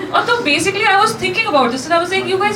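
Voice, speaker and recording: Noticeable background noise behind a female voice whose pitch swings very widely. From New Delhi, India. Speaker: stand-up comedian. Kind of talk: live stand-up comedy set. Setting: live venue with audience.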